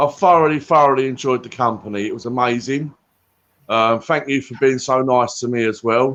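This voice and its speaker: With a Cockney accent, a man speaks at a moderate pace, medium pitch and ordinary pitch variation. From England. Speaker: guest. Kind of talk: casual chat.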